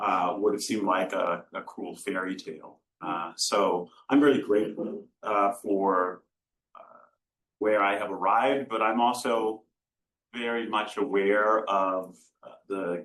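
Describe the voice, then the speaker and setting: A man speaks with an American accent at a fairly low pitch. He has a plain, everyday voice with fairly even intonation. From United States. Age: 60s. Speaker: law professor. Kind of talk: panel discussion.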